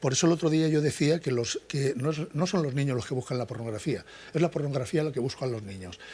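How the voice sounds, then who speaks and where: A man talks at a very fast pace in a dark, mellow tone that is somewhat breathy. His pitch is fairly high, with ordinary pitch variation. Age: 60s. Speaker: psychology professor. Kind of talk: interview. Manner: halting, many false starts.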